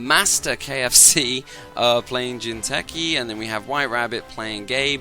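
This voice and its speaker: A man speaks in a medium pitch with ordinary pitch variation. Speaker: game commentator. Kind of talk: casual game commentary.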